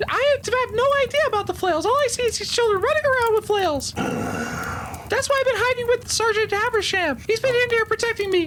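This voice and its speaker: A squeaky, put-on character voice rattles along at a fairly quick pace with hardly any pauses over clear background noise. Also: man, extremely high pitch for a man. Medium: actual play. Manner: brash, defensive.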